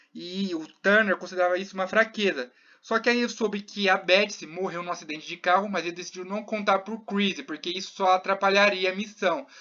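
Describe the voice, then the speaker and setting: Delivery runs fairly quickly. Pauses barely occur. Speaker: youtuber recapping a TV series. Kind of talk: casual recap commentary.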